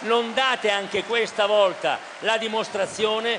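A man speaks with a high-pitched voice. There is noticeable noise in the background. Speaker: prime minister. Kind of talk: political rally speech. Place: hall. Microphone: podium.

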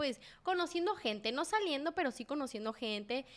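This woman talks with a Sinaloan accent at a moderate pace. The recording is very clean, with a silent background. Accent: Sinaloan Mexican Spanish. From Mexico, Sinaloa (Mazatlán). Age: 20s. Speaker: podcast co-host. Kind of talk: casual chat. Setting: studio.

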